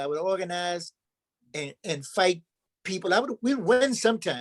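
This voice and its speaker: A man speaks at a moderate pace in a high voice. The sound is dry and close, with no echo. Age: 70s. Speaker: community organizer and anti-racism trainer. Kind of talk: workshop talk. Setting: video call. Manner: animated.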